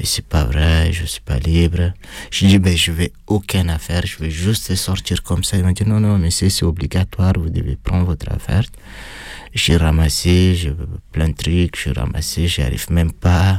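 A man speaks with a non-native accent. His pitch is very deep and low. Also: ordinary pitch variation, moderate pace. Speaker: former prisoner. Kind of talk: testimony. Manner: halting.

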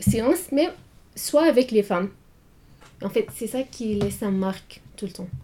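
A woman with an Arabic accent speaks at a fairly slow pace with long, frequent pauses, her fairly high, dark, mellow, somewhat breathy voice showing lively intonation and big swings in loudness. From Syria. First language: Arabic (speaking French). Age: 20s. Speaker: student. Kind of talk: interview. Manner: halting.

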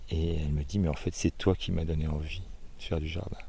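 A man speaks in a very deep, low voice that is dark, mellow and somewhat breathy, with a monotone, flat delivery. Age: 60s. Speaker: organic market gardener. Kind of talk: casual interview. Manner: halting.

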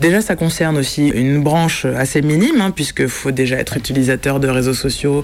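Fairly quick speech in a woman's very deep, low voice. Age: 30s. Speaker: film director. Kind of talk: interview. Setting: small cinema room.

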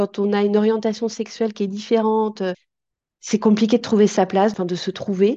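The tone is dark and mellow. Speech moves at a moderate pace over a quiet background. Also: woman. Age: 50s. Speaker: mother of a transitioning daughter. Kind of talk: testimony.

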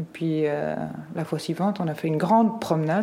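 Moderate pace amid noticeable background noise. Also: woman. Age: 50s. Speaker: guardian of a minor. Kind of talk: recorded conversation.

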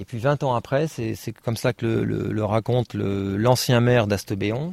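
Pitched fairly low, a man speaks in a dry, close sound with no echo. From Paris region, France. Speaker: naturalist. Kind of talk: talk to an audience. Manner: halting.

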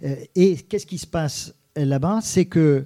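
This man's fairly high voice has a dark, mellow tone and ordinary pitch variation, captured in a very clean recording over a silent background. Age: 50s. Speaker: photographer and newspaper reporter. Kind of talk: interview. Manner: halting, with many repetitions.

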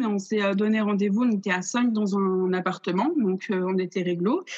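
A woman of medium pitch talks at a moderate pace in a somewhat breathy voice, with very even loudness and hardly any pauses. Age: 20s. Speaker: theatre student and stage director. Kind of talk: casual interview. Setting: video call. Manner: hesitant.

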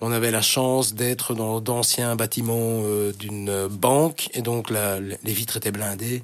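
A man with a medium pitch and fairly even intonation, at a very slow pace over noticeable background noise. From Brussels, Belgium (Schaerbeek). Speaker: radio presenter. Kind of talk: casual interview. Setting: radio studio. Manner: hesitant, many fillers.

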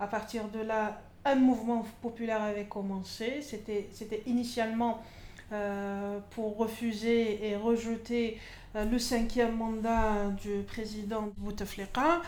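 Very slow, monotone, flat delivery from a woman with a fairly high pitch, with audible room echo. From Algeria, Constantine (east). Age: 30s. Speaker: feminist activist. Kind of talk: interview. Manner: halting, many fillers.

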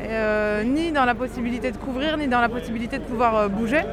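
A woman speaks in a high pitch at a moderate pace with ordinary pitch variation. There is noticeable background noise and audible room echo. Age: 30s. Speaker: freelance photojournalist. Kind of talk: interview.

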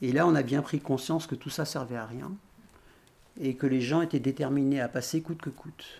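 Somewhat breathy and fairly high-pitched, a man talks with fairly even intonation and long, frequent pauses. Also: moderate pace. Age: 60s. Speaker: retired activist volunteer. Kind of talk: testimony.

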